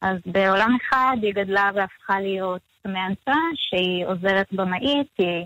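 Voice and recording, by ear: Recorded in dry, close sound with no echo, a woman speaks in a fairly bright tone with ordinary pitch variation.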